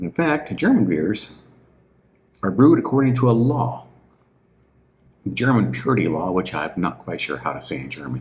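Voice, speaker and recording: Speaking with an American accent in a relaxed tone, a man with a fairly low pitch and vocal fry talks at a moderate pace, leaving long, frequent pauses while his pitch swings very widely. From US Midwest, southern Illinois near St. Louis. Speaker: beer reviewer, channel owner. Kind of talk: casual unscripted monologue. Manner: rambling, relaxed.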